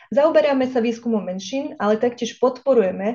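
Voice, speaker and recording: A woman speaks with a high pitch, ordinary pitch variation and a dark, mellow tone. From Vojvodina, Serbia (Slovak minority). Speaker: think tank director and researcher, seminar moderator. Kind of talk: seminar introduction. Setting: online event. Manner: formal.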